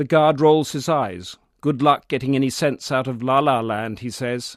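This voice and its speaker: On a very clean recording with a silent background, a man with an English accent sounds dry and close with no echo. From England. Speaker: foreign correspondent. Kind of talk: scripted narration.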